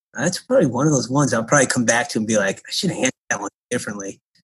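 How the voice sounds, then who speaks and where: A somewhat breathy man with an American accent, medium pitch and ordinary pitch variation. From Connecticut, US Northeast. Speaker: college basketball coach. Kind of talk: interview.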